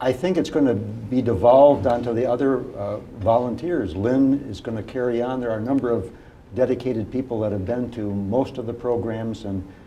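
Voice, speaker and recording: With audible room echo, a man talks at a moderate pace in a medium pitch, his pitch varying in an ordinary way. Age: 60s. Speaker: family law attorney, legal clinic volunteer. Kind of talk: TV interview. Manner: hesitant, frequent fillers.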